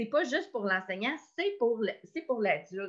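Her voice sits at a fairly high pitch. This woman's pitch swings very widely. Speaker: education community coordinator. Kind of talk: online professional meeting. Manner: halting, many repetitions.

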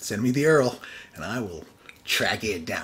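A man speaks at a moderate pace with a medium pitch and lively intonation. Noticeable background noise sits behind him. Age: 40s. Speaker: podcast host and college professor. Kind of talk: casual monologue.

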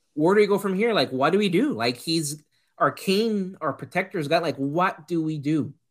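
Someone speaks with a Puerto Rican accent at a moderate pace. The recording is very clean, with a silent background. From Puerto Rico. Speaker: podcast co-host. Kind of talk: casual chat.

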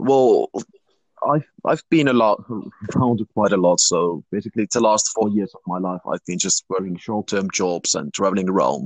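In a slight Finnish accent, a man with a fairly low pitch and ordinary pitch variation speaks at a moderate pace, his loudness swinging widely, in a dry, close sound with no echo. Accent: Finnish, slight; near-native English. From Finland. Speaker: youth instructor. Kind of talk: interview. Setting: online video interview.

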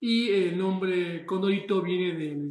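Through audible room echo, a man speaks at a high pitch with fairly even intonation. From Argentina. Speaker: chef. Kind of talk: monologue. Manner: halting.

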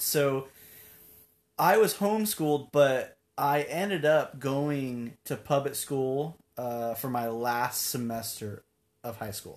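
A man with an American accent talks at a very slow pace, his pitch fairly high with ordinary variation. The recording is very clean, with a silent background. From US Pacific Northwest, Tacoma, Washington. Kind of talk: casual interview. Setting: studio. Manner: energetic.

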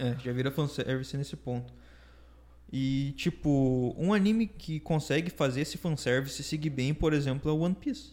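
This man's pitch is fairly high, with ordinary variation. He talks at a moderate pace. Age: 20s. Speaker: podcast guest. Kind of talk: casual chat.

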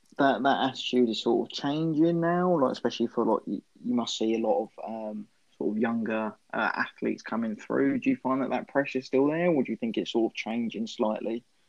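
A man speaks at a fairly quick pace in a medium pitch. His pitch varies in an ordinary way. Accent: English. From England. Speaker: podcast co-host. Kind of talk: casual interview.

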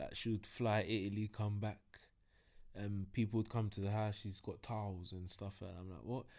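A man with a London accent speaks in a dark, mellow tone at a fairly low pitch, with fairly even intonation at a moderate pace. The recording is very clean, with a silent background. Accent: London, multicultural London English. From north London (Tottenham, Hackney). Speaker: entrepreneur. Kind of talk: casual chat.

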